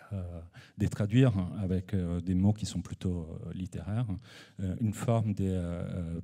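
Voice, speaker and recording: A man's very deep, low, dark and mellow voice with a non-native accent, fairly even intonation and a fairly slow pace. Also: very clean recording, silent background. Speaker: photographer and researcher. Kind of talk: conference presentation. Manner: halting, many hesitations.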